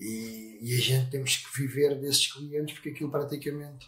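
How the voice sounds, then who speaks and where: The tone is bright and sharp, delivered at a moderate pace. The intonation stays monotone and flat. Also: man. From Portugal, Sesimbra. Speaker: motorcycle painter and business owner. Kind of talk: casual interview. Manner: halting, many fillers.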